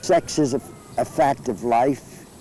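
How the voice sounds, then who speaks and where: A man's medium-pitched voice, showing ordinary pitch variation, comes through noticeable background noise. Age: 70s. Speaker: interviewee. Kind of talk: interview.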